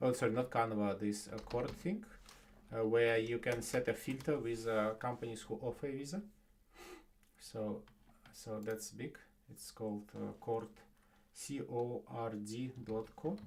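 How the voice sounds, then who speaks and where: A man with a non-native accent speaks at medium pitch and a fairly slow pace. His intonation is fairly even, broken by long, frequent pauses. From Estonia. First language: not English. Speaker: live streamer. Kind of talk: casual chat. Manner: halting.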